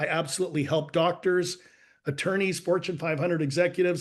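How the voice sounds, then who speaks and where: A man speaks with a slight Canadian accent. The background is quiet. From Canada. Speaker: life and business coach. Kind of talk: interview storytelling. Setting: podcast.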